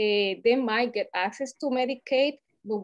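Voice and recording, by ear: A woman with a Latin American accent speaks with ordinary pitch variation.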